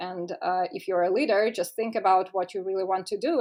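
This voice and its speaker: A woman talks at a fairly quick pace with a Russian accent. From Russia (Moscow). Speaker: tech startup co-founder. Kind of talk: podcast interview. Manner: formal; halting.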